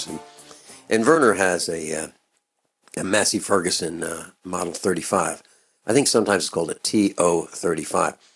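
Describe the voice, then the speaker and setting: Music plays behind a man with a very deep, low voice who talks at a fairly quick pace with ordinary pitch variation and long, frequent pauses. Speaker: radio talk show host. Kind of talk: radio interview. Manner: energetic.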